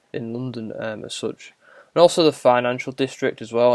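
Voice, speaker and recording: In a northern English accent, a man talks at a fairly quick pace. The recording is very clean, with a silent background and a dry, close sound with no echo. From northern England. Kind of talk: casual monologue answering a prompt. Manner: halting, many fillers.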